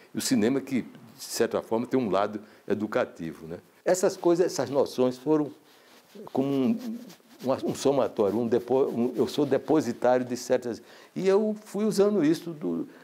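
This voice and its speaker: Speaking at a moderate pace, a man with a medium pitch and a dark, mellow tone makes very wide pitch swings. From Paraíba, Brazilian Northeast. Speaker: filmmaker. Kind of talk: interview testimony. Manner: halting, many repetitions.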